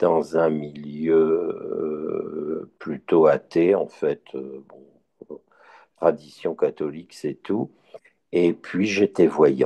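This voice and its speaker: The sound is dry and close with no echo as a man speaks at a very slow pace, his loudness swinging widely. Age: 60s. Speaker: blind Bible listener, retiree. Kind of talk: testimony.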